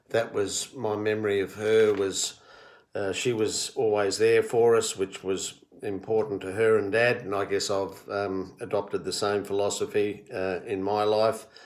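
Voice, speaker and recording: Monotone, flat speech in an Australian accent at a fairly slow pace, in a very clean recording with a silent background. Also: man, fairly low pitch for a man. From Australia, Melbourne area (Victoria). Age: 60s. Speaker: retired-age HR professional recording family history. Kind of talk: personal monologue answering questions. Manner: hesitant, many fillers.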